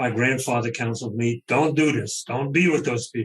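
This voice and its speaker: A somewhat breathy voice at a moderate pace. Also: man. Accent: Brooklyn. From US Northeast, Brooklyn, New York. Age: 70s. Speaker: author. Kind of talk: interview.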